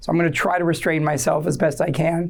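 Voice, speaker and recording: A woman's fairly low-pitched voice with vocal fry at a fairly quick pace. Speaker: wine educator, speaker at forum. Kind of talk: informal presentation to audience. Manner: hesitant, many fillers and repetitions.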